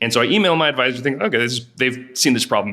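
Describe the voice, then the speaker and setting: Noticeable background noise sits behind a man's voice. He has a medium pitch and speaks at a very fast pace. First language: Spanish. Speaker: entrepreneur, startup founder. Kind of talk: podcast interview, storytelling. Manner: casual, conversational.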